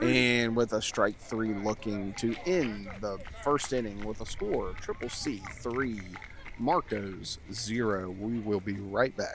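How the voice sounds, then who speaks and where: Noticeable background noise sits behind a man speaking at a very slow pace. His pitch is medium and varies in an ordinary way. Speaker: play-by-play announcer. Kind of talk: live commentary. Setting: outdoors behind the fence at a ballfield. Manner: soft-spoken; subdued, not too animated.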